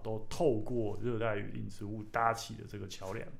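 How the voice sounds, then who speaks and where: A man talks at a moderate pace amid audible room echo. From Taiwan, Taichung. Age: 30s. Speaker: author and plant collector. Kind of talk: casual chat. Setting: studio.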